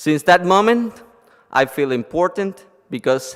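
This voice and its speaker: A man talks in a Cuban accent. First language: Spanish. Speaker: lawyer and blogger. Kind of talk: conference presentation. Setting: conference stage with audience.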